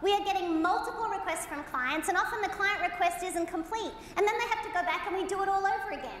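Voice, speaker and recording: A woman's extremely high-pitched, very fast speech in an Australian accent, with hardly any pauses, ordinary pitch variation and audible room echo. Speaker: motivational keynote speaker. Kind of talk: keynote presentation. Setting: stage with audience. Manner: animated.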